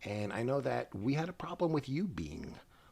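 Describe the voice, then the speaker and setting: At a fairly slow pace, a man's somewhat breathy voice moves through very wide pitch swings. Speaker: podcast host. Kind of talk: casual chat. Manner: halting.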